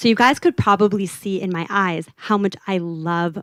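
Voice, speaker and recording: A woman with a Southern California accent speaks at a medium pitch with ordinary pitch variation. The sound is dry and close with no echo, on a very clean recording with a silent background. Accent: American, LA Valley Girl, slightly tamed. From US, California (Los Angeles). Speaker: UX designer. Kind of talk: conference talk. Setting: stage with audience. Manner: casual, conversational.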